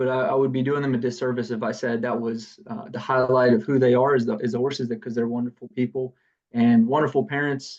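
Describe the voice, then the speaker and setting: Speaking fairly quickly in a Southern US accent, a man with a medium pitch keeps a flat, monotone intonation. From US South, south Georgia. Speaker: business founder. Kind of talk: podcast interview. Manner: halting, many fillers.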